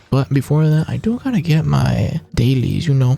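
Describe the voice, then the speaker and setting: With noticeable background noise behind them, a speaker talks at a fairly quick pace. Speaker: gaming streamer. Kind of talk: gameplay commentary. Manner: casual, filler-heavy.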